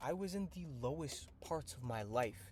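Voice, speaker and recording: His voice comes out somewhat breathy. The man's intonation is lively. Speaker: trading coach. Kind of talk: motivational monologue. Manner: animated; halting.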